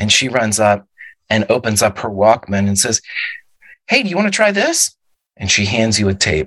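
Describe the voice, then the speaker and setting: Long, frequent pauses break up speech delivered at a moderate pace in a dry, close sound with no echo. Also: man. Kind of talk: dramatic narration.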